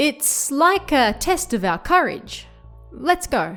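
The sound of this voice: In a shaky, put-on character voice with very wide pitch swings, the speaker goes at a fairly slow pace while faint music plays in the background. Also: woman, high pitch for a woman.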